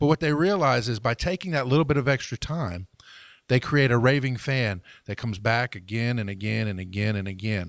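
An unremarkable speaking voice from a man at medium pitch, with lively intonation, a fairly quick pace and a very clean recording over a silent background. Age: 40s. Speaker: business podcast co-host. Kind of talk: casual chat.

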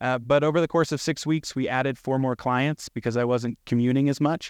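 A man's unremarkable speaking voice at medium pitch, fairly quick and with fairly even intonation, in a dry, close sound with no echo and a quiet background. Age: 30s. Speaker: property manager and real estate investor. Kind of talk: panel discussion.

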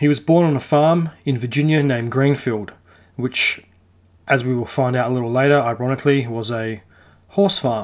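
A man speaks in a normal speaking voice, medium in pitch with ordinary pitch variation, at a moderate pace. The recording is very clean with a silent background. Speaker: podcast host. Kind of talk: true-crime history narration, storytelling a historical account. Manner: conversational, relaxed storyteller with casual asides and mild swearing; steady, measured narrative pacing, detail-heavy.

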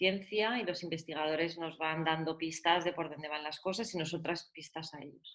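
At a moderate pace, a woman with an ordinary speaking voice talks in a fairly low pitch with fairly even intonation. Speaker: patient advocate, cannabis foundation founder. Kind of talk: interview.

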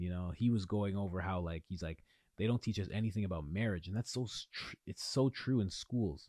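A man with an Ontario accent speaks fairly quickly in a fairly low pitch, animated and with lively intonation. The recording is very clean with a silent background and a dry, close sound without echo. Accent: Canadian (Ontario). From Ontario, Canada. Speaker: podcast host, men's coach. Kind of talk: casual monologue. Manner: animated, casual.

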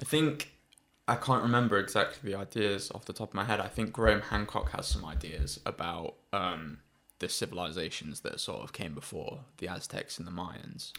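With a British accent, a man speaks at a moderate pace in a fairly low voice, with very wide pitch swings and big swings in loudness. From UK. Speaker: podcast co-host. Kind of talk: casual chat.

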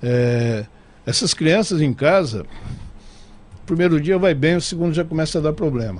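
Lively intonation from a man with a fairly high pitch, at a fairly slow pace. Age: 60s. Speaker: TV and radio station director. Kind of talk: casual interview chat. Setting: studio.

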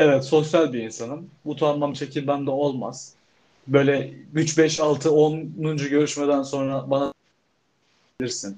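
The man's voice is fairly high with a dark, mellow tone. He speaks at a very slow pace with fairly even intonation. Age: 20s. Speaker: podcast co-host, photography student. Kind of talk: casual chat.

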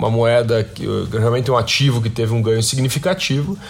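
There's a noticeable echo from the room. The man talks at an unhurried, middling speed. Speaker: podcast host. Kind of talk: news commentary. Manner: frequent fillers and hesitations.

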